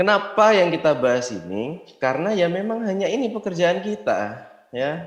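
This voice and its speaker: This man's voice is high-pitched and swings very widely in pitch. He speaks at a moderate pace. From Indonesia, Yogyakarta. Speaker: network marketing distributor. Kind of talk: motivational business talk.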